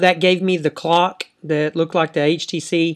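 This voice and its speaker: This voice has a Dallas accent. The pace is fairly slow. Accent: country accent, Dallas Texas. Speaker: tech YouTuber. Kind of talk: tutorial. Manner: hesitant, many fillers.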